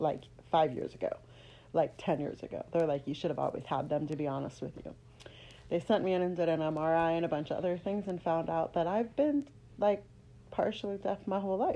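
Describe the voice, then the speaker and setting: A woman speaks at a fairly quick pace with an American accent. Her dark, mellow voice sits fairly low, with ordinary pitch variation. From Los Angeles, US. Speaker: vlogger sharing testimony. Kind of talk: personal testimony. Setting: at home. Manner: casual, conversational; doesn't enunciate clearly.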